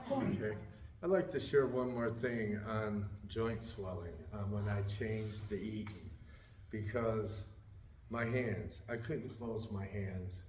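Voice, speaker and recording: Amid noticeable background noise and audible room echo, a man speaks very slowly at a fairly low pitch with ordinary pitch variation. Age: 60s. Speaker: weight loss group member. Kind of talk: testimony. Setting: church group meeting.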